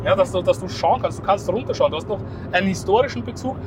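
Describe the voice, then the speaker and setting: A man amid noticeable background noise. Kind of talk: casual chat. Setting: in a car. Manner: halting.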